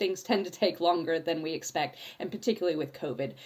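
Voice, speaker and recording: With lively intonation, a woman speaks at a fairly low pitch in an ordinary speaking voice. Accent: American. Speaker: space policy academic. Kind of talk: panel discussion. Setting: podcast recording.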